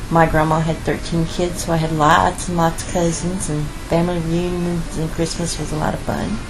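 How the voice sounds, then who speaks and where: A woman with an American accent talks at a moderate pace, with hardly any pauses and monotone, flat intonation in a fairly low pitch. Music plays in the background, and the room echo is audible. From Missouri. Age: 60s. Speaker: grandmother with a counseling degree. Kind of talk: family interview.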